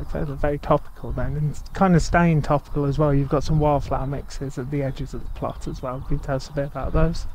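Very fast, monotone, flat delivery with hardly any pauses, a dry sound with no echo and light background noise. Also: man, fairly high pitch for a man. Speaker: agricultural media interviewer. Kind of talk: interview. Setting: outdoors. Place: farm.

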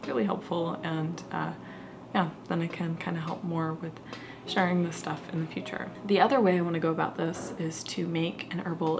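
At a moderate pace, the words come through noticeable background noise. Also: woman. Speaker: crafting vlogger. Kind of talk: casual vlog chat. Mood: thoughtful, slightly unsure. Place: home room.

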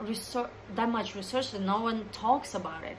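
With a non-native accent, a woman speaks at a moderate pace and with fairly even intonation over light background noise. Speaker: dancer, choreographer, creative director. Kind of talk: casual talk to camera. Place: home room. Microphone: phone near.

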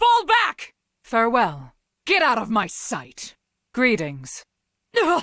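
Using a put-on character voice, a woman speaks high and fairly slowly, leaving long, frequent pauses. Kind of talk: video game character voice lines. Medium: video game. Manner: stern, commanding.

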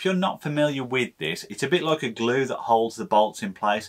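Male speech, moderately paced, with a quiet background. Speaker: maker channel host. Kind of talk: tutorial. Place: workshop.

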